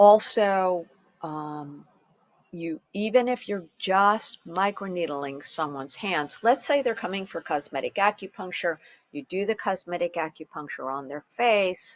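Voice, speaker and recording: A woman at a medium pitch and fairly slow pace, with lively intonation and big swings in loudness. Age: 60s. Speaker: acupuncture physician and teacher. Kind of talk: lecture. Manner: hesitant fillers.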